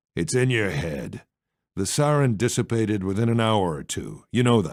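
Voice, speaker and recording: In a gruff, put-on character voice at medium pitch, a man speaks at a moderate pace with lively intonation on a very clean recording with a silent background. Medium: read story. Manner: gruff, curt.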